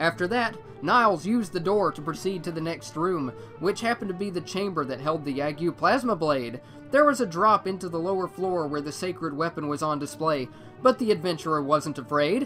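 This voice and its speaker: Music plays behind a man with a high-pitched voice. He speaks at a fairly quick pace with lively intonation. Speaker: voice actor. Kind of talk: dramatic story narration.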